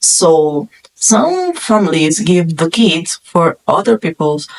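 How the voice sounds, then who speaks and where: In a non-native accent, a woman speaks at a very slow pace with a fairly low pitch and ordinary pitch variation. The sound is dry and close, with no echo. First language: not English. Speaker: film reviewer YouTuber. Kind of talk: casual movie review monologue.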